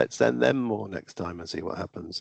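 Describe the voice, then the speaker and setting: Vocal fry marks this speaker with a British accent, recorded with a dry, close sound and no echo. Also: man. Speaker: raffle and lottery trainer. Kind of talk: online training presentation. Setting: video call.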